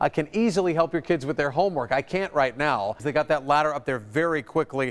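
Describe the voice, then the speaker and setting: Over noticeable background noise, a man with an American accent speaks at a fairly high pitch with ordinary pitch variation. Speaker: news anchor. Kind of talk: television news anchor delivery.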